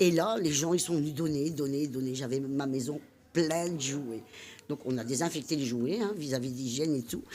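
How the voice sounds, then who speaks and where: Dark and mellow in tone, the voice moves at a moderate pace. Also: woman, very deep, low pitch for a woman, ordinary pitch variation. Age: 60s. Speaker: amateur singer and volunteer. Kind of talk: interview. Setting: studio.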